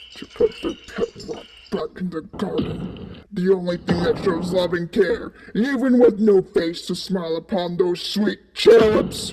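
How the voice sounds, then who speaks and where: Someone in a put-on character voice speaks at a fairly slow pace with a menacing tone and middle pitch. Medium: audio drama. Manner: menacing, scolding.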